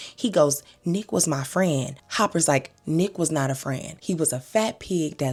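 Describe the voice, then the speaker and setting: Music plays in the background as a woman speaks in an animated tone with a very deep, low pitch. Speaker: TV episode recap commentator. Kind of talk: casual commentary recap.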